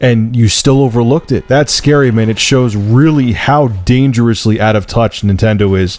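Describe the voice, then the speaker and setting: A man speaks at a medium pitch with ordinary pitch variation. His moderate pace has hardly any pauses, and his loudness stays very even. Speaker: tech and gaming video reviewer. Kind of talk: opinion rant. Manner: animated, exasperated.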